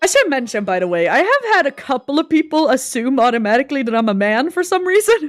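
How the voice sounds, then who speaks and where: A woman with a Swedish accent speaks very fast in a high voice, hardly pausing and with very wide pitch swings. Music plays in the background. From Sweden. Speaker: animator. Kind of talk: casual chat. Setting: livestream.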